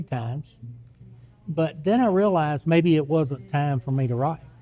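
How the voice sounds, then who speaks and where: Music plays in the background as a man speaks at a moderate pace. His fairly high voice shows ordinary pitch variation. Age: 60s. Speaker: author. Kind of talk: casual chat. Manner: halting.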